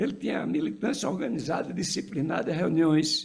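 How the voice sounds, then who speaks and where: A man speaking at a moderate pace. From Pernambuco, Brazilian Northeast. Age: 80s+. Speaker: physician and former political activist. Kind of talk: tribute speech. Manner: halting.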